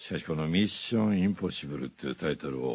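Using lively intonation, a man speaks with vocal fry. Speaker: voice actor. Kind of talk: radio DJ music show. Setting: studio. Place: studio. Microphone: studio mic.

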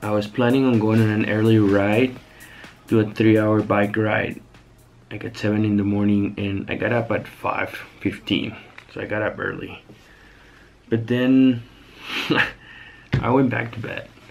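Over music in the background, a man with a fairly low pitch speaks in a monotone, flat intonation at a fairly slow pace with long, frequent pauses. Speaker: cyclist vlogger. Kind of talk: casual vlog chat. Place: home room. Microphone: phone near.

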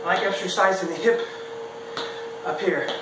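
A man speaks at a moderate pace. Noticeable background noise and audible room echo surround his voice. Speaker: presenter. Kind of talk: workout instruction. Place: garage. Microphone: camera far.

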